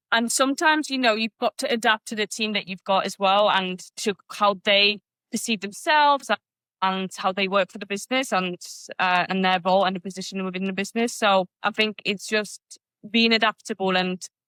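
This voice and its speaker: Recorded with a dry, close sound and no echo, a woman with a Polish accent talks at a fairly quick pace in a bright, sharp tone, with medium pitch and ordinary pitch variation. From Poland. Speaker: business owner. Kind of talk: podcast interview. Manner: halting.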